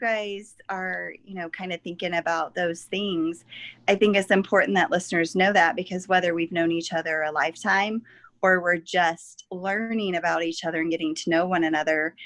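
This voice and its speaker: A woman with an American accent, medium pitch and ordinary pitch variation, at a moderate pace against a quiet background. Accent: Southern US, coming back. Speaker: podcast co-host. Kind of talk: casual chat.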